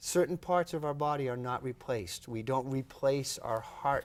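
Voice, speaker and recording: An ordinary speaking voice from a man at a moderate pace, with ordinary pitch variation, in a very clean recording with a silent background. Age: 60s. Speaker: professor of neuroscience. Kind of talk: TV health interview.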